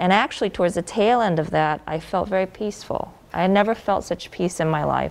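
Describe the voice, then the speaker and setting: With vocal fry in her voice, a woman talks using ordinary pitch variation. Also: medium pitch for a woman, fairly quick pace. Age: 30s. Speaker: malpractice victim. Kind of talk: interview testimony. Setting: studio.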